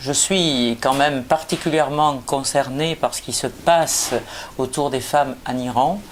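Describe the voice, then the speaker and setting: Her pitch is very deep and low. The woman speaks at a fairly slow pace. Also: fairly even intonation. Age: 60s. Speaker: politician. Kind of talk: prepared statement. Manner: hesitant, many filler sounds.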